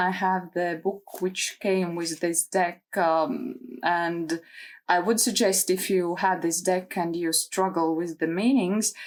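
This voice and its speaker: Talking at a very slow pace, a woman uses a medium pitch and a non-native accent. The recording is very clean, with a silent background. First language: not English. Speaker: tarot content creator. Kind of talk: casual video talk. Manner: hesitant, many fillers.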